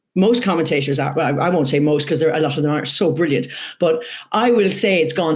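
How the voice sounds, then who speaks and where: A woman with an Irish accent speaks at a fairly low pitch with lively intonation, and some room echo can be heard. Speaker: horse racing commentator and former jockey. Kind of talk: interview. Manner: animated.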